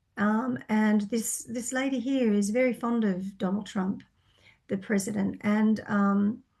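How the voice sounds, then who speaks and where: At a fairly slow pace, a woman speaks in a somewhat breathy voice of medium pitch with a dark, mellow tone. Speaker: psychic reader. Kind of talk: Q&A monologue answering viewer questions. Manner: hesitant, many fillers.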